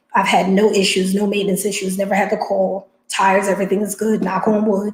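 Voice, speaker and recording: A somewhat breathy, medium-pitched woman's voice with a New Jersey accent. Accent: New Jersey American. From New Jersey, US. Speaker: box truck business owner, live streamer. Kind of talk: casual live stream chat with viewers. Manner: fast; animated.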